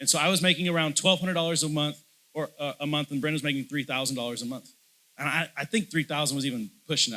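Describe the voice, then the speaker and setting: A loud, passionate man's voice, bright and sharp, fairly high in pitch and very fast in pace. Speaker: pastor. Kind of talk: sermon. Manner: hesitant fillers and repetitions.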